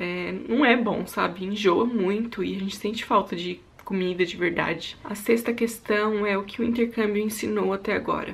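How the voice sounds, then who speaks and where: A woman speaks at a moderate pace with fairly even intonation and hardly any pauses. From Brazil, São Paulo state (Suzano); São Paulo state, Brazil. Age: 20s. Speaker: YouTuber and au pair; YouTuber. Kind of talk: casual vlog monologue. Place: home room. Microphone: phone near.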